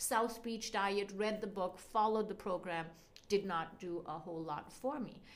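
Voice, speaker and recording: A woman with a Canadian accent speaks at medium pitch and a moderate pace, with ordinary pitch variation. Room echo is audible. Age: 40s. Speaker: physician. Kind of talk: interview.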